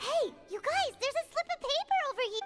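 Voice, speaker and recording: This put-on character voice is squeaky and extremely high-pitched, moving at a fairly quick pace with clear music in the background. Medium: video game. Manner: excitable.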